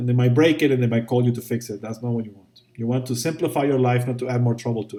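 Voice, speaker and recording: Speaking very fast with fairly even intonation, a man with a non-native accent has a dark, mellow tone at a medium pitch. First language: not English. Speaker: VFX instructor. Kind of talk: tutorial. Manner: casual, conversational with fillers.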